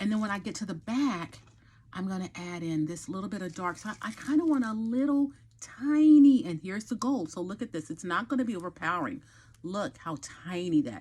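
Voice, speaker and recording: A woman's somewhat breathy, dark and mellow voice at medium pitch with an American accent, very wide pitch swings, and a fairly quick pace. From Texas. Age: 50s. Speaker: hair and lifestyle vlogger. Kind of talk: hair tutorial. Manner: casual, chatty.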